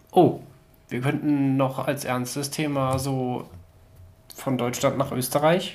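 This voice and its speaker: With audible room echo, a man at medium pitch speaks very slowly in a monotone, flat voice, pausing long and often. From central Germany. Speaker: podcast co-host. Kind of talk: casual chat.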